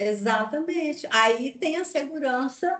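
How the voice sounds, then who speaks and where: This woman's voice is high in pitch and moves in very wide pitch swings. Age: 60s. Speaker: occupational health consultant and speaker. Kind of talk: webinar talk answering host questions. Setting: online webinar.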